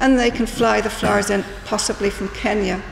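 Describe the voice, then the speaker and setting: In a Northern Irish accent, the speaker goes at a fairly slow pace amid audible room echo and noticeable background noise. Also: woman. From Northern Ireland. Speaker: small business owner. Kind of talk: public meeting speech. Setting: town hall public meeting.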